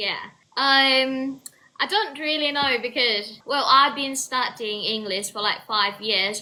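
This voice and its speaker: Speaking very slowly in a British accent, the voice is raised and projected, with a bright, sharp tone and lively intonation. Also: woman, high pitch for a woman. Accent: British-sounding English. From southern Thailand, Trang. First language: Thai. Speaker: university student. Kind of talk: casual chat. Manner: halting, repeats words.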